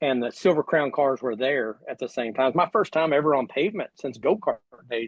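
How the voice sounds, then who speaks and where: Heard here is a plain, everyday voice with an American accent, moderate in pace and ordinary in pitch variation. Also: man. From US. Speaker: sprint car driver. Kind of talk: casual chat. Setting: livestream.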